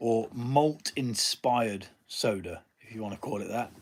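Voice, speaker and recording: Here a man with an English accent speaks at a medium pitch. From Nottingham, England. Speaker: home brewer. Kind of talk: live stream chat. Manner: casual, hesitant with fillers.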